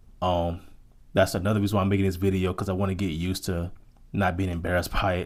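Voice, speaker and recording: A very deep, low-pitched man with an American accent, at a very fast pace in monotone, flat intonation. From United States. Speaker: vlogger. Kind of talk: casual monologue vlog. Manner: halting, repeats words.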